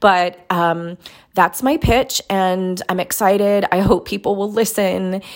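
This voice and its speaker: A woman talks at a very slow pace in a medium pitch, her intonation fairly even. Background noise is noticeable throughout. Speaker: aspiring podcaster pitching a show.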